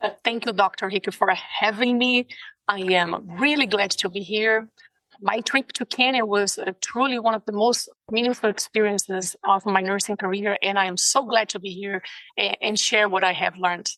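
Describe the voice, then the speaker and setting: With a Brazilian Portuguese accent, a woman speaks in a bright, sharp tone, the sound dry and close with no echo. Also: medium pitch for a woman, fairly even intonation, moderate pace. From Brazil, São Paulo. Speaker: nurse. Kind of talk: interview. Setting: video call.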